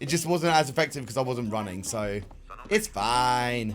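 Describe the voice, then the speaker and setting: This man's lively intonation and medium pitch move along at a moderate pace. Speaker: streamer. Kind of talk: live gameplay commentary. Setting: live stream. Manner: loud.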